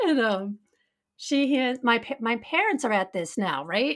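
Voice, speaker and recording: Fairly high-pitched, a woman talks in an ordinary speaking voice with ordinary pitch variation. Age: 40s. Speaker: podcast host. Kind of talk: casual conversational chat. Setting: live on Instagram while taping.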